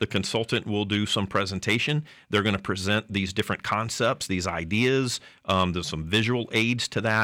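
Recorded very cleanly against a silent background, with a dry, close sound and no echo, a man with a Southern US accent speaks at a fairly low pitch in a bright, sharp tone. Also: ordinary pitch variation, moderate pace. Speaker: city manager.

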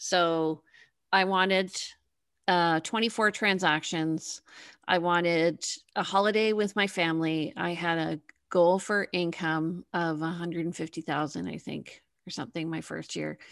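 Against a quiet background, a woman with a Canadian accent uses a plain, everyday voice, fairly low in pitch, at a fairly slow pace with fairly even intonation. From Canada, Toronto. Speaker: realtor and TV host. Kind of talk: interview podcast.

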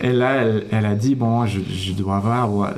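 A man with an English accent speaks very slowly at a fairly low pitch, with fairly even intonation. Audible room echo and noticeable background noise fill the recording. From Toronto, Canada. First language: English (speaking French). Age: 30s. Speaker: orchestra conductor. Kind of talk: radio interview. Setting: radio studio.

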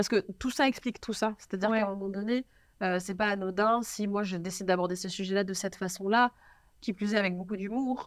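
A woman's medium-pitched voice in a Parisian accent, very fast in pace and fairly even in intonation, on a very clean recording with a silent background. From Paris, France. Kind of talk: interview chat. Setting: studio.

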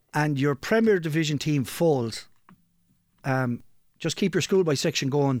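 A fairly high male voice in a Kilkenny Irish accent, with ordinary pitch variation and a very clean recording over a silent background. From Ireland, Kilkenny. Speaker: local soccer podcast co-host and club figure. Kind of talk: casual chat.

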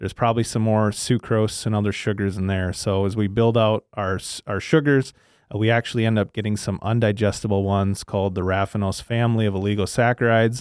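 At a very fast pace, a man talks with a fairly low pitch and fairly even intonation. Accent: Upper Midwest. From southern Minnesota (Le Sueur). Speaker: agronomist, agricultural products manager. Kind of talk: podcast interview. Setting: studio.

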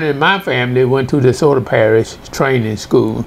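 A man with an American accent talks amid noticeable background noise. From US South, northwest Louisiana (Mansfield). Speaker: retired professor. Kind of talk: life story interview.

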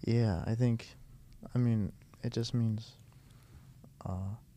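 In a dark, mellow tone, a man talks with an American accent. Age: 20s. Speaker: seminarian. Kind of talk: casual chat.

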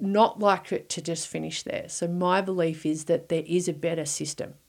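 A woman with an Australian accent, fairly low-pitched, fairly even in intonation and moderate in pace, on a very clean recording with a silent background. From Victoria, Australia. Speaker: poultry research director. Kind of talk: interview. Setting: studio.

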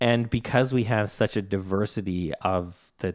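With a Canadian accent and an unremarkable speaking voice, a man speaks at a fairly low pitch with fairly even intonation on a very clean recording with a silent background. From Canada. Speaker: podcast co-host, software co-founder. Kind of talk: casual chat.

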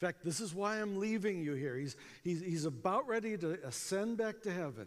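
With an American accent and lively intonation, a man talks at a moderate pace. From US, small town. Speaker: evangelism speaker. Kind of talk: conference talk. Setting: stage with audience.

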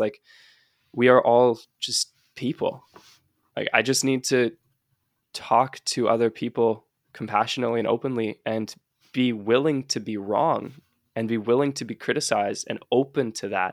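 A man's medium-pitched, fairly even voice at a moderate pace, with long, frequent pauses and a dry, close sound with no echo. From British Columbia, Canada. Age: 20s. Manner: loud.

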